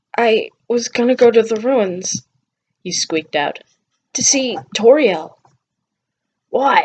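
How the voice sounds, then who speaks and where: A woman performs in a put-on character voice. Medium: read story. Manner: gruff, blunt, coarse.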